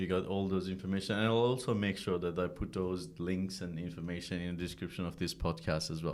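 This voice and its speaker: In a non-native accent, a man is talking. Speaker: podcast host. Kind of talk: casual interview.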